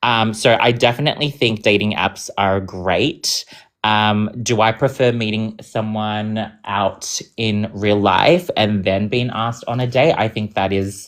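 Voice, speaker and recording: At a fairly slow pace and with hardly any pauses, a man speaks in a fairly low pitch with fairly even intonation. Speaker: debate participant. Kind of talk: live online debate.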